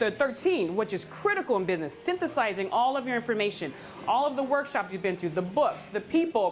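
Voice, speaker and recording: Over noticeable background noise, a woman with a fairly high pitch and very wide pitch swings speaks at a fairly quick pace. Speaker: keynote speaker and former teacher. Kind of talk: Q&A after a talk. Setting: live event in a coffee shop with audience.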